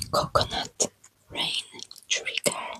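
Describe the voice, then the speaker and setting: A woman is whispering. Her pace is very slow. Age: 20s. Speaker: ASMR creator. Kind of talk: ASMR trigger words. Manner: soft, repetitive, relaxing.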